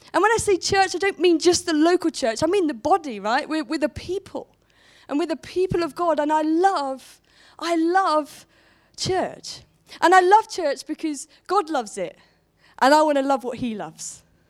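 A woman talks at a moderate pace in an extremely high voice. Her intonation is lively. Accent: southern English. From southern England, Portsmouth. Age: 20s. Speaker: church worker and conference speaker. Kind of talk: sermon. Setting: stage with audience.

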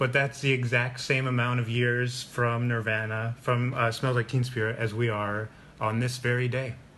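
This man has a plain, everyday voice at a medium pitch. He speaks at a moderate pace with an American accent. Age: 30s. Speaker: podcast host. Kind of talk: casual chat.

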